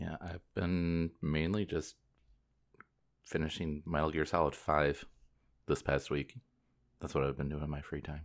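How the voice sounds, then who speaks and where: Very deep and low, this man's voice moves at a fairly slow pace with fairly even intonation and long, frequent pauses. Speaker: video game podcast host. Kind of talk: casual chat. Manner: laughs often.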